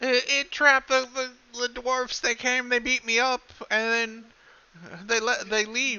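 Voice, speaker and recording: In a put-on character voice, fairly high in pitch, the speaker goes at a fairly slow pace with monotone, flat intonation and long, frequent pauses. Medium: actual play. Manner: broken grammar, halting, simple.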